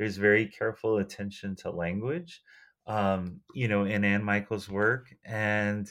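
An ordinary speaking voice from a man with an American accent, fairly low in pitch, fairly slow and fairly even in intonation, over a quiet background. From United States. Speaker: book lover and longtime listener. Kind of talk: casual chat.

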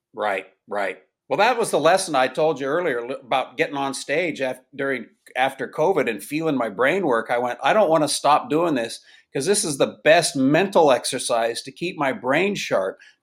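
A man with a normal speaking voice talks at a moderate pace, fairly high in pitch with lively intonation. The recording is very clean, with a silent background. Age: 60s. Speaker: stand-up comedian. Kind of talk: casual interview chat.

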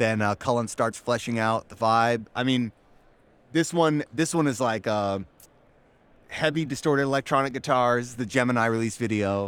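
A man with an unremarkable speaking voice talks at a moderate pace, medium in pitch, with ordinary pitch variation. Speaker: crypto company creative team member. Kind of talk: casual interview. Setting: conference expo floor.

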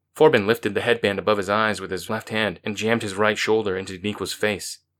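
Fairly even intonation in plain reading aloud

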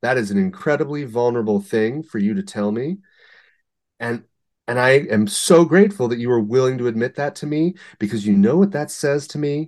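Against a quiet background, a man speaks in an American accent at a medium pitch. His pitch swings very widely. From United States. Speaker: art curator. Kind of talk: interview. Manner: halting.

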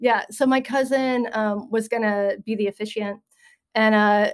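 Speaking in a plain, everyday voice, a woman with an American accent has a fairly high pitch and fairly even intonation. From US South, Western North Carolina. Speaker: podcast host and journalist. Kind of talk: casual chat.

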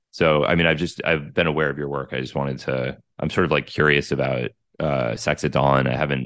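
A man with an American accent speaks at a fairly quick pace, his pitch very deep and low with vocal fry. His intonation is monotone and flat. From United States. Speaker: journalist and psychedelic researcher. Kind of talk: interview conversation.

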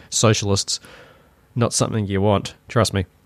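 A man talks with a New Zealand accent. The recording is very clean and dry, close with no echo and a silent background. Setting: home recording with vent noise. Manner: opinionated.

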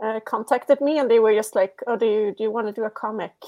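A woman talks at a fairly high pitch with ordinary pitch variation. The sound is dry and close, with no echo. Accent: Swedish. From Sweden. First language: Swedish. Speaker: comic creator. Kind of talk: casual interview chat. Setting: video call, laptop microphone.

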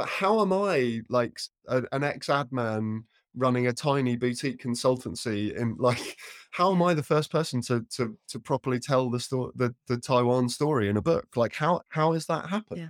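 Recorded in a dry, close sound with no echo, the speech moves at a moderate pace with ordinary pitch variation. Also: man. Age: 40s. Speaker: narrative expert and author. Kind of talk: interview. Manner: halting, many repetitions and restarts.

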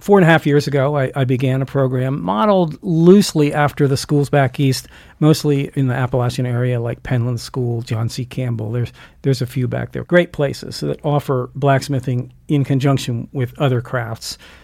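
A man at medium pitch has an ordinary speaking voice with ordinary pitch variation. He keeps a moderate pace on a very clean recording with a silent background. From US Mid-Atlantic (Delaware). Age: 60s. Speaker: blacksmith and school director. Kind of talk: casual interview.

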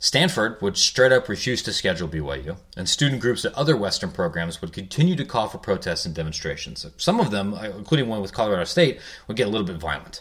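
Against a silent background on a very clean recording, a man with a fairly low pitch speaks very fast, his pitch swinging very widely. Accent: American. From Ohio. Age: 30s. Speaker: sports journalist. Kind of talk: podcast narration on history. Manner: frequent fillers and repetitions.

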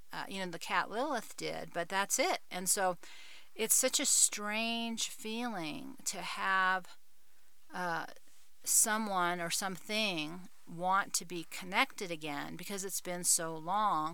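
A woman's bright, sharp tone at a very slow pace, with ordinary pitch variation. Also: medium pitch for a woman. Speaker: podcaster. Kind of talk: solo podcast monologue.

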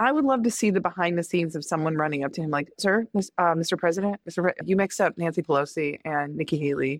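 A woman with an American accent and a very deep, low pitch talks at a very fast pace with ordinary pitch variation, in a dry, close sound with no echo on a very clean recording with a silent background. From US Midwest, Indiana. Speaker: comedian. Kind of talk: casual chat. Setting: in person live recording.

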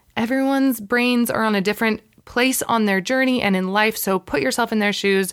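A woman's fairly high, ordinary speaking voice, an ordinary speaking voice at a moderate pace with lively intonation. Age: 30s. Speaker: podcast host. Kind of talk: casual monologue.

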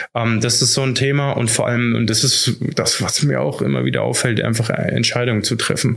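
Recorded with audible room echo and noticeable background noise, a man speaks with ordinary pitch variation. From Hesse, Germany (Idstein). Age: 30s. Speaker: teacher and digitalization consultant. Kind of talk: interview. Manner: hesitant, many fillers.

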